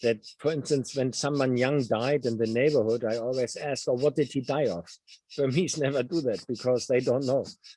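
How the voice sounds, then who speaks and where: With a German accent, a man speaks at a moderate pace. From Germany. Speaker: novelist. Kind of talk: Q&A interview. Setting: video call. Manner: halting.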